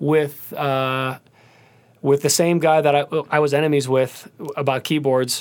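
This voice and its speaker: Over noticeable background noise, a man with an American accent talks at a moderate pace and a fairly high pitch. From US Midwest, Cleveland, Ohio. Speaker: singer and pianist. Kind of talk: casual interview. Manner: animated.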